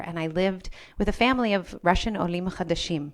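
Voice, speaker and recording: A woman talks at a fairly quick pace in an American accent. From New England, US (New Milford, Connecticut). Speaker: rabbi and community organization director. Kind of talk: panel discussion talk. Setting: live webinar panel. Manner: thoughtful, some hesitations.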